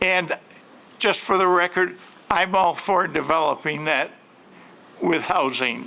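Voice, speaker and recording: Delivered with an American accent, the speech is fairly slow, with long, frequent pauses. Intonation stays fairly even and loudness very even. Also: man, high pitch for a man. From Grand Rapids, Michigan. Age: 70s. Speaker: local resident at public hearing. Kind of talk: public comment. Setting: city planning commission meeting.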